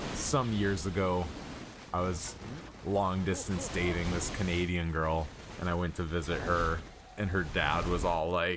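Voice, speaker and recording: A man with a Midwestern accent and a very deep, low pitch speaks at a fairly slow pace with fairly even intonation and very even loudness, leaving long, frequent pauses amid noticeable background noise and audible room echo. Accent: city Midwest. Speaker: gaming streamer. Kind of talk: casual chat. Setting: live stream. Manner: rambling, halting.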